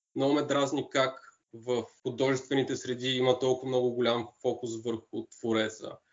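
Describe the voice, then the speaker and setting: A man talks at a moderate pace and medium pitch, with hardly any pauses. His intonation stays monotone and flat. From Bulgaria, Shumen. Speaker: designer and street artist. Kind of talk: interview.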